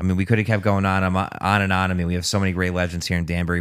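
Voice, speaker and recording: Very fast and monotone, a man with an American accent speaks in a very deep, low pitch with flat intonation. The recording is very clean, with a silent background. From Connecticut. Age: 30s. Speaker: podcast host. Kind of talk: casual chat.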